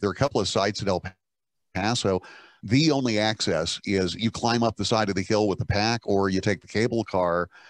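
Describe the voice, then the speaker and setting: A man with a fairly low pitch talks with ordinary pitch variation. The background is quiet, and the sound is dry with no echo. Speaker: broadcast engineer. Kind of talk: group discussion. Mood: relaxed, anecdotal. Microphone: video call.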